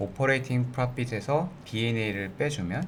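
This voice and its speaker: Somewhat breathy and with lively intonation, a man speaks at a fairly slow pace amid audible room echo. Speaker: finance YouTuber. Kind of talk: tutorial.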